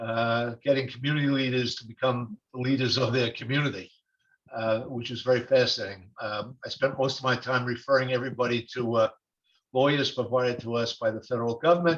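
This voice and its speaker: In a New York accent, a man talks at a fairly quick pace with medium pitch and fairly even intonation. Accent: New York (Brooklyn), noticeable. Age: 70s. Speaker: retired attorney, webinar participant. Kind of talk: question in webinar Q&A. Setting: video webinar, joining by phone. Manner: halting, many fillers. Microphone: phone.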